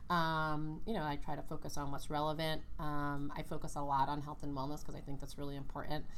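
A woman talks very fast with hardly any pauses, in an American accent and a very deep, low pitch. Her intonation is monotone and flat, and the room echo is audible. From New York, Brooklyn. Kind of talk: interview.

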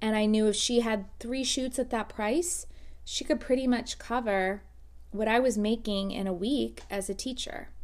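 At a fairly slow pace, a woman with an unremarkable speaking voice and an American accent talks at a fairly high pitch with ordinary pitch variation. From South Florida. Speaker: podcast host, photographer. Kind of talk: casual monologue.

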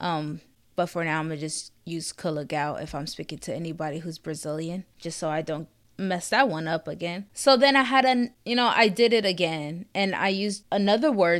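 In a very clean recording with a silent background, a woman with a plain, everyday voice talks at a moderate pace, her fairly low pitch carrying lively intonation and big swings in loudness. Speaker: podcast host. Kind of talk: solo podcast monologue. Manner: casual, conversational with fillers.

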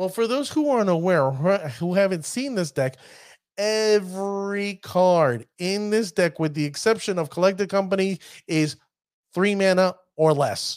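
An animated tone in a New York accent at a moderate pace, in a very clean recording with a silent background. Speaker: podcast host. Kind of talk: casual podcast chat about card game. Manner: animated, joking.

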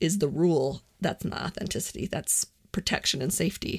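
In a very clean recording with a silent background, a woman speaks at a fairly low pitch, sounding somewhat breathy. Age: 40s. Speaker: podcast host on personal growth. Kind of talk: solo monologue podcast.

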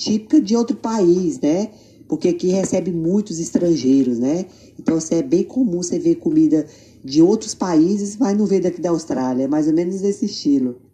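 This woman talks at a moderate pace and a medium pitch, her voice somewhat breathy with a dark, mellow tone. Her pitch swings very widely. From Tocantins, Brazil. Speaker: makeup artist. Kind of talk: interview.

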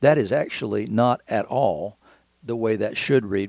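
Using ordinary pitch variation, a man speaks at a medium pitch in a Southern US accent. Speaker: podcast host and Bible teacher. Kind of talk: devotional Bible teaching. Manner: halting, conversational with fillers.

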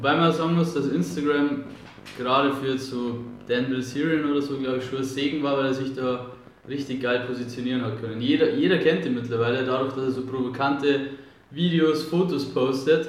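A man with a medium pitch talks at a fairly quick pace as noticeable noise runs in the background. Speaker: podcast host. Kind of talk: casual interview. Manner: enthusiastic, slangy.

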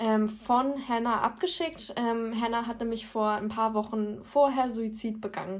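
Using an unremarkable speaking voice, a woman with a fairly high pitch talks at a fairly slow pace, with fairly even intonation and hardly any pauses. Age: 20s. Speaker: psychology student and blog co-founder. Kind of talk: casual podcast interview.

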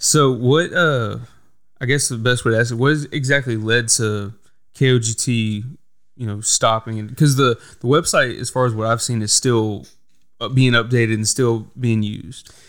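In an American accent, a man speaks at a moderate pace with a plain, everyday voice, fairly even intonation and medium pitch. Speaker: podcast host. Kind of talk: casual interview chat.

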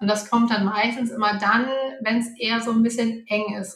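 A woman at a moderate pace. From Hamburg, northern Germany. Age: 30s. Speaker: finance coach. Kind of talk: interview.

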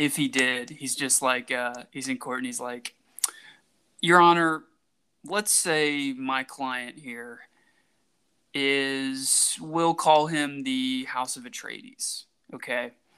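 A man speaks very slowly, with long, frequent pauses and fairly even intonation. His tone is bright and sharp, and his loudness swings widely. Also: medium pitch for a man, very clean recording, silent background. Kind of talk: casual comedy podcast banter.

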